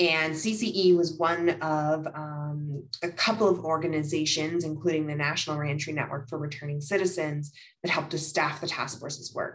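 A woman speaks with a very deep, low pitch and fairly even intonation. Her pace is moderate, and the background is quiet. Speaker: policy researcher presenting a report. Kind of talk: slide presentation. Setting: video call. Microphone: video call.

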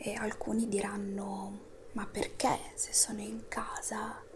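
Soft-spoken and whispering, a woman speaks at a very slow pace over noticeable background noise. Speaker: ASMR creator. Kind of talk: ASMR motivational talk. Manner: whispered, soft-spoken. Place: home room. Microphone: lapel.

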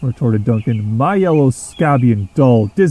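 Natural reading voice

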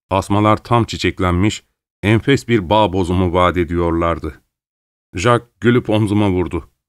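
Very deep and low in pitch, a man talks at a fairly slow pace with ordinary pitch variation and very even loudness, in a dry, close sound with no echo. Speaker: voice actor. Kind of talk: audiobook narration.

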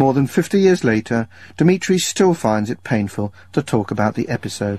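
This voice moves at a moderate pace with very wide pitch swings and a dry sound with no echo. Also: man. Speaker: radio documentary presenter; radio presenter. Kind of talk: radio documentary narration.

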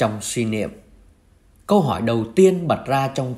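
His voice is somewhat breathy. This man's pitch swings very widely. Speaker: priest. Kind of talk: homily-style reflection on the Gospel.

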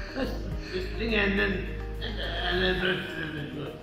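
Over clear background music, a man's voice carries audible room echo. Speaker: vaccine recipient. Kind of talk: interview answer. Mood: pleased, appreciative. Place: hall. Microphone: phone near.

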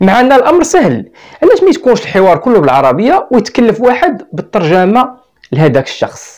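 A man with a Moroccan accent at a moderate pace against a quiet background. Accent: Moroccan Arabic (Darija). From Morocco. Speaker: YouTuber commentator. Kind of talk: video monologue. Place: studio. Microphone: lapel.

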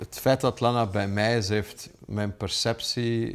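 Spoken at a very slow pace in a Flemish accent, the voice keeps a fairly even intonation. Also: man. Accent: Flemish Dutch. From Flanders, Belgium. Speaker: businessman and dog owner. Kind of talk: interview testimony; interview answer. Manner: hesitant with fillers. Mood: warm, reflective. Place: home room.

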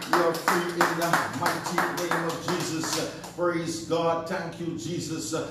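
A man talks at a very slow pace over loud background noise, with audible echo in the room. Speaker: pastor. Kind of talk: sermon. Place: home room. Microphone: camera far.

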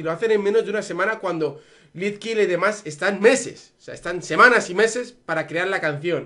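The voice has a bright, sharp tone. Its intonation is lively. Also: man, quiet background. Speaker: YouTuber reacting to music. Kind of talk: casual vlog chat. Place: home room. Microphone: earbuds.

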